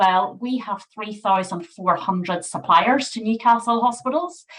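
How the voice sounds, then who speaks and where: In a Northern Irish accent, a woman talks at a moderate pace. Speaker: NHS sustainability manager. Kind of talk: webinar presentation.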